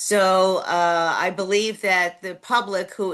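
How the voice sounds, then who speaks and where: With a New York accent, a woman speaks at a medium pitch in a bright, sharp tone. The background is quiet. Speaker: city council candidate. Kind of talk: candidate interview. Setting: video call.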